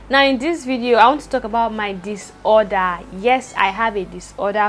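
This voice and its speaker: Against noticeable background noise, a woman speaks in a fairly high voice with ordinary pitch variation. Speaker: vlogger. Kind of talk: personal vlog. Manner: fast.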